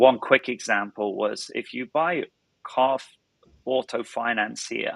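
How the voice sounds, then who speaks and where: The speaker has a British accent and talks at a fairly slow pace. The sound is dry and close, with no echo. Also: man. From northern England. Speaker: startup founder and CEO. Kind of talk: podcast interview. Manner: halting, many repetitions.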